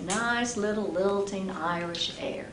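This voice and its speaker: A woman's upbeat tone with ordinary pitch variation, over noticeable background noise. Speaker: storyteller. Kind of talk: live storytelling performance. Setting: live audience. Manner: upbeat, humorous.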